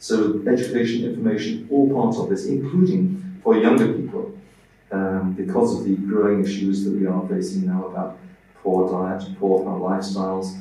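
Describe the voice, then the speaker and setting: Noticeable background noise and audible room echo accompany a man as he speaks at a moderate pace. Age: 70s. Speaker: professor of aging and digital health. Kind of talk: interview. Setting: studio. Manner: hesitant, many fillers.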